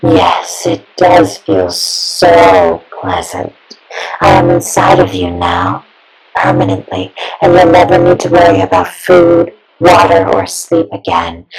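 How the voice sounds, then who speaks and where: Faint music plays behind a raspy, put-on character voice of middle pitch that moves at a fairly slow pace. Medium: audio drama. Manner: sweet, soft-spoken, menacing.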